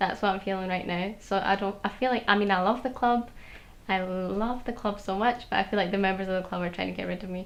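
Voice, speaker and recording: A woman with a Glasgow accent, at a very fast pace. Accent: Glasgow Scottish. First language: Polish. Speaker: student. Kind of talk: interview.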